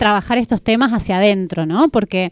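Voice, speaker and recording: A woman's medium-pitched voice with a Catamarca Argentine accent, in a dry, close sound with no echo. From Catamarca, Argentina. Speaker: radio co-host. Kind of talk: casual radio chat.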